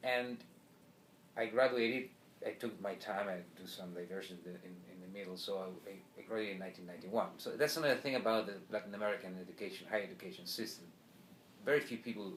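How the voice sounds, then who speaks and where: A man at a very fast pace, with big swings in loudness and noticeable background noise. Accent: Spanish. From Argentina. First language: Spanish. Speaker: journalist and professor. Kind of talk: interview. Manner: halting, many repetitions.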